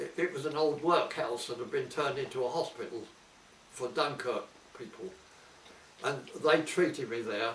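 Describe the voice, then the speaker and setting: A man talks at a moderate pace. His speech has long, frequent pauses over noticeable background noise. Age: 80s+. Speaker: war veteran. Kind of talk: interview answer. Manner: hesitant.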